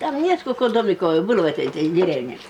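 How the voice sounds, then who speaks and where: A woman's pitch swings very widely. Noticeable background noise runs underneath. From Komi Republic, Russia. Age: old. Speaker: storyteller and writer. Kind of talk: oral folk tale telling. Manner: unscripted, conversational.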